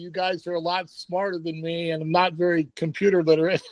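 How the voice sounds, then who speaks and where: Speaking at a fairly quick pace, a man holds a high pitch with monotone, flat intonation. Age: 60s. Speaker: basketball coach and recruiting service owner. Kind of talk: panel discussion on video call.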